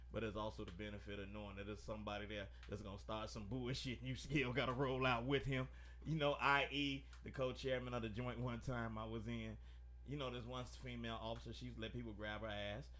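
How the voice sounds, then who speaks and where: A man talks very fast as audible echo fills the room around him. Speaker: live-stream talk show host. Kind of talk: casual chat. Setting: live stream. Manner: slurred.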